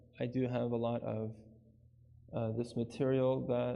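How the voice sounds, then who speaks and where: A man's voice carries audible room echo. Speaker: Islamic lecturer at a retreat. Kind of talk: lecture.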